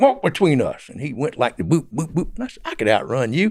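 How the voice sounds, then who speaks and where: On a very clean recording with a silent background, a man with a Southern US accent talks at a fairly quick pace, his voice showing vocal fry and very wide pitch swings. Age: 70s. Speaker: former drug smuggler. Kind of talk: interview storytelling. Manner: halting.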